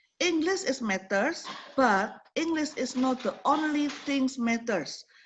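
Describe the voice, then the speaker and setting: A woman with an Indonesian accent, high-pitched, with ordinary pitch variation and a very slow pace. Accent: Javanese-accented English. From Indonesia (Java). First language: Javanese or Indonesian. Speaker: program coordinator, lecturer. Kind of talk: online forum hosting, motivational talk. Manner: animated.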